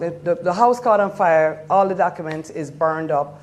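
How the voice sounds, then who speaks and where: Noticeable background noise behind a woman's moderate-paced speech with ordinary pitch variation. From Jamaica. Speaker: trafficking survivor. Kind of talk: testimony.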